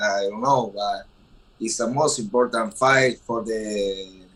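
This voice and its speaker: A man of medium pitch speaks with an Argentine accent. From Argentina. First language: Spanish. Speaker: professional boxer. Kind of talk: press conference. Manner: halting.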